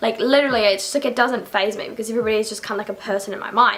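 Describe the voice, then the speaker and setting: A woman with a New Zealand accent talks at a very fast pace with lively intonation over noticeable background noise. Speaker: YouTuber. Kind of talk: casual vlog. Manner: animated.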